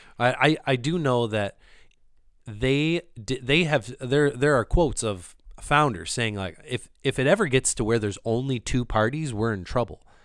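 This man has an ordinary speaking voice, medium in pitch, with ordinary pitch variation at a moderate pace, on a very clean recording with a silent background. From Canada. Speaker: podcast co-host. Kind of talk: casual chat.

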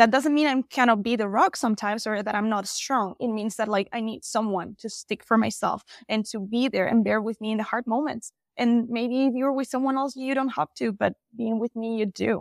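A woman speaks with a non-native accent and a fairly high pitch. The recording is very clean, with a silent background and a dry, close sound with no echo. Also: fairly quick pace. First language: not English. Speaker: copywriter and communication strategist, chronic illness entrepreneur. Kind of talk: casual interview chat. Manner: energetic.

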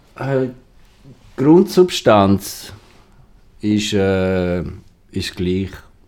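A man talks at a fairly low pitch and a very slow pace. Long, frequent pauses break up his speech. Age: 50s. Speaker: self-employed photo lighting technician. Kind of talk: interview. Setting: his one-room flat, 13th floor.

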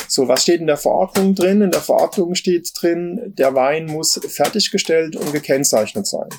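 A high-pitched man talks at a moderate pace with hardly any pauses and ordinary pitch variation. Noticeable background noise sits behind him. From Palatinate, southwest Germany. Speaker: lawyer. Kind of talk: interview.

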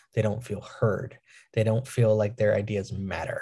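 Recorded very cleanly against a silent background, a man with a medium pitch speaks at a moderate pace in a dark, mellow, somewhat breathy tone with monotone, flat intonation. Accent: American. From New York. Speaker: cybersecurity professional. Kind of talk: interview.

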